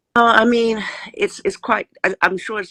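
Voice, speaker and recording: The voice has a bright, sharp tone. The sound is dry and close, with no echo. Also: woman. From Saint Vincent and the Grenadines. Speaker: teacher calling in. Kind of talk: call-in conversation. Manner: halting, many fillers and restarts.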